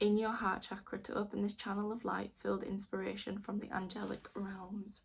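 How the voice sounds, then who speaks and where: A woman with a strong Yorkshire accent speaks in a monotone, flat intonation with vocal fry. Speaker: tarot reader. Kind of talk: tarot reading with card text read aloud.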